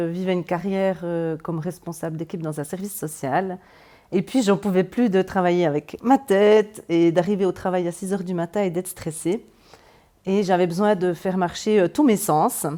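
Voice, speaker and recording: Her voice has a dark, mellow tone and a medium pitch with ordinary variation. The woman keeps a moderate pace while her loudness swings widely. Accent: Swiss Jura. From Swiss Jura (Moutier). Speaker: energy therapist and medium. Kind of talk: interview. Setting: in-person interview. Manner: hesitant, many fillers.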